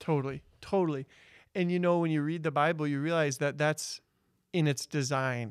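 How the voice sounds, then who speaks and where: A plain, everyday voice from a man, fairly high in pitch, at a moderate pace with fairly even intonation and very even loudness, on a very clean recording with a silent background. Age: 30s. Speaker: Bible teacher. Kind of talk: casual chat.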